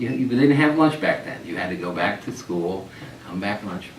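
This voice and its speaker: A man with an American accent talks at a very fast pace, with audible room echo and noticeable background noise. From US Northeast, local town. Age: 60s. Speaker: retired local resident, oral history interviewee. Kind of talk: oral history interview. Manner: halting, with many repeated words.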